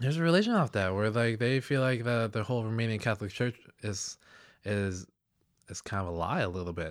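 A man's medium-pitched, unremarkable speaking voice at a fairly quick pace with ordinary pitch variation, on a very clean recording with a silent background. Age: 20s. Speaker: podcast guest, friend of host. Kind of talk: casual chat. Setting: in person, sitting together.

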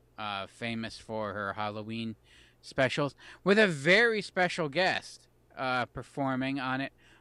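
With big swings in loudness and very wide pitch swings, a man speaks at a fairly slow pace in a medium pitch and a bright, sharp tone, on a very clean recording with a silent background. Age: 30s. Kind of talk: casual chat.

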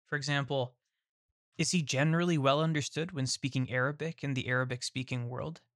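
Recorded dry and close with no echo, a man with a fairly high pitch talks at a fairly quick pace. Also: big swings in loudness. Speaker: podcast host. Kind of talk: scripted intro and casual interview. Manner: enthusiastic, animated.

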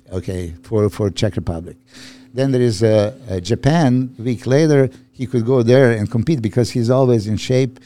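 At a moderate pace, a man with a Serbian accent speaks at medium pitch in a dark, mellow tone with ordinary pitch variation. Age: 50s. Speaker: bodybuilding coach. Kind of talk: casual chat.

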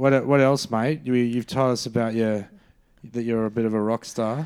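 A man talks in an Australian accent. His intonation stays fairly even. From Brisbane, Australia. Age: 30s. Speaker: comedian and podcast co-host. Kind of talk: casual chat.

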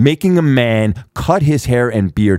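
In a dry, close sound with no echo, a man with an unremarkable speaking voice talks at medium pitch with ordinary pitch variation. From Canada. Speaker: actor. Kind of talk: casual chat. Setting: studio.

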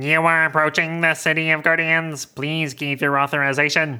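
In a very clean recording with a silent background, a robotic put-on character voice speaks at middle pitch and a moderate pace with monotone, flat intonation.

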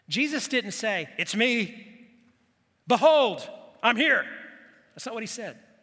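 Raising and projecting his extremely high, bright, sharp voice, a man speaks very slowly with ordinary pitch variation, big swings in loudness and long, frequent pauses. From grew up in the local community (Bethany). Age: 60s. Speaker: pastor. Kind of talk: sermon. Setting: church with congregation.

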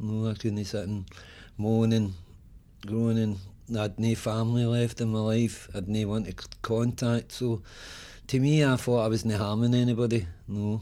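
A man's dark, mellow voice in a monotone, flat intonation, at a moderate pace with long, frequent pauses. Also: medium pitch for a man. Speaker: recovering addict, former homeless tenant. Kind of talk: testimony. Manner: natural, relaxed delivery.

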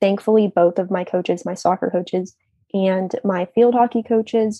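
In an ordinary speaking voice, a woman speaks at a moderate pace with a medium pitch and fairly even intonation. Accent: American. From US, northern Virginia (Leesburg). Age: 20s. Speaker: university student. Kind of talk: casual interview.

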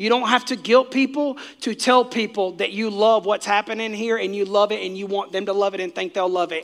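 A man speaks loudly at a high pitch. His pitch varies in an ordinary way. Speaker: pastor. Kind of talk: sermon. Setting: church with live audience. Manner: fast.

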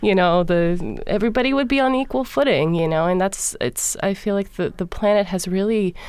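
A woman with an American accent uses a normal speaking voice at medium pitch, with lively intonation and very even loudness. She talks at a fairly quick pace. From Los Angeles, California. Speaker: singer of Balkan vocal music. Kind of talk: interview.

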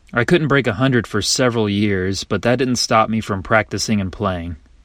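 A man with an unremarkable speaking voice and fairly low pitch talks at a moderate pace with ordinary pitch variation in a very clean recording with a silent background. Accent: American. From North Carolina, Kernersville. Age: 20s. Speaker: golf mental coach. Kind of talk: scripted narration.

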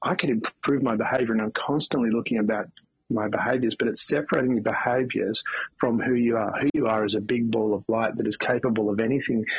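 Speaking at a very fast pace, a man uses an Australian accent. His pitch is medium and his loudness very even. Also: fairly even intonation. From Australia, country Victoria. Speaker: CEO and motivational speaker. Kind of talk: interview. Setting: remote call from a beach house.

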